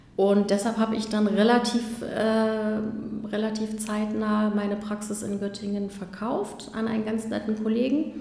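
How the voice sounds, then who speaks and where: A woman speaks at a fairly high pitch in a monotone, flat intonation. Audible room echo and noticeable background noise come through. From eastern Germany, Magdeburg. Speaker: dentist. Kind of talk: interview. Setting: dental practice. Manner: hesitant, many filler sounds.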